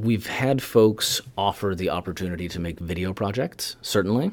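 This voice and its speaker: Moderate speed and ordinary pitch variation in an ordinary speaking voice. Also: man. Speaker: professor and TikTok educator. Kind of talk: casual interview chat.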